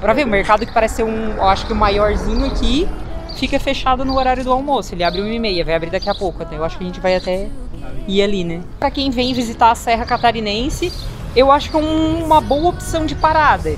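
A woman talks at a very fast pace over clear background music. The sound is dry, with no echo. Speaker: travel vlogger. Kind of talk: casual vlog chat. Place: street. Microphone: phone near.

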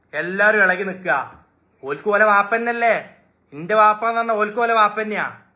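Projecting his voice loudly, a man speaks at a high pitch with a bright, sharp tone and an animated delivery. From Malappuram, Kerala. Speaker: social media live streamer, shop owner. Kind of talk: live stream talk to fans. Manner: animated, repetitive.

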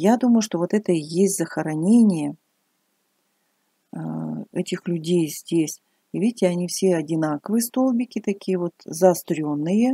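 A woman with a fairly low pitch and a dark, mellow tone speaks at a fairly slow pace with long, frequent pauses and ordinary pitch variation against a quiet background. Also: dry sound with no echo. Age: 60s. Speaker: retired hairdressing teacher, vlogger. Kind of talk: casual vlog narration to camera. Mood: curious, thoughtful. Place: open country. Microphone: phone near.

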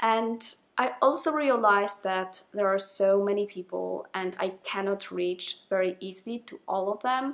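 A woman talks with a non-native accent. Her pitch sits at a medium level, with ordinary pitch variation. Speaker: programmer. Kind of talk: casual talk to camera. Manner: excited, nervous. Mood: warm, excited, smiling. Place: home room.

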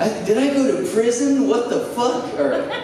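Audible room echo surrounds a man speaking at an extremely high pitch, with ordinary pitch variation. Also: moderate pace.

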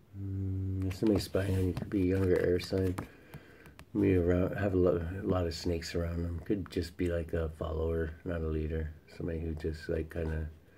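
Very deep and low, a man's voice is dark and mellow, somewhat breathy and monotone, with light background noise behind it. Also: fairly quick pace. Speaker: tarot reader. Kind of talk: casual tarot reading chat. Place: home room. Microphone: phone near.

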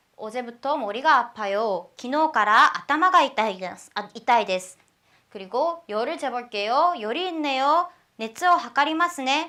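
A woman projects a raised voice at a high pitch with a bright, sharp tone. She keeps a moderate pace and uses lively intonation. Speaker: language teacher. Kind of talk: lecture.

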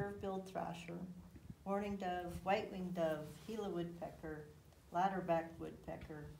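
A woman speaks at a moderate pace with vocal fry, her pitch fairly low and her intonation fairly even. Her tone is slightly mellow, and audible room echo surrounds the voice.

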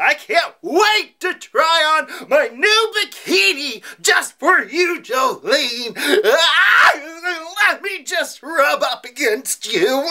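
Using a put-on character voice, a man talks at a very slow pace in an extremely high pitch. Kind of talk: comedy sketch weather report parody.

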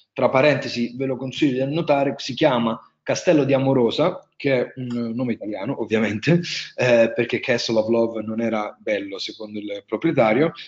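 Against a quiet background, a man with a strong Marche accent talks at a fairly quick pace and medium pitch with ordinary pitch variation. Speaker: wine tourism entrepreneur, webinar speaker; webinar presenter. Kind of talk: webinar presentation; lecture. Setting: online webinar. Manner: hesitant, many fillers. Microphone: webcam.

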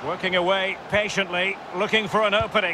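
A man speaks in a raised, projected voice with an animated tone. Noticeable background noise sits behind him. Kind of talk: live commentary. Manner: animated, rising and falling with the action.

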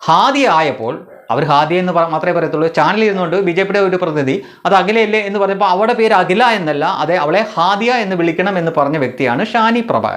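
This man's voice sits high for a man, his intonation lively. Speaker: political commentary YouTuber. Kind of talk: monologue commentary.

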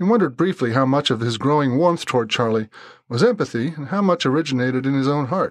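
The reading aloud is plain, with lively intonation throughout.

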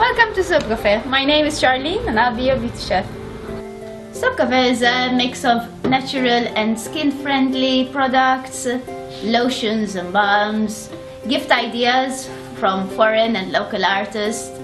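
Clear music plays in the background. A woman speaks at a high pitch with ordinary pitch variation. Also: fairly slow pace. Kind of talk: promotional talk to camera. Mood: warm, friendly. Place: shop.

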